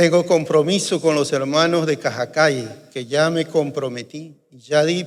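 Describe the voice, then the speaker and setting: Fairly high in pitch, a man speaks at a very slow pace with fairly even intonation. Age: 60s. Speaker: pastor. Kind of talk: sermon. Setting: church.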